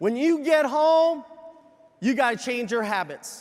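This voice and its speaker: A man talks at a moderate pace in an extremely high pitch. His pitch variation is ordinary. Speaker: business leadership speaker / convention presenter. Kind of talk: motivational convention stage speech to a large live audience. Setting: large arena with a live audience.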